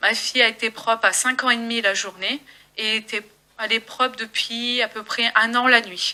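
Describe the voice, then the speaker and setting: With a fairly high pitch, a woman speaks at a moderate pace in a monotone, flat intonation. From northern France, Gravelines. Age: 20s. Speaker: parent giving testimony. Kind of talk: testimony. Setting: public meeting with audience. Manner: halting.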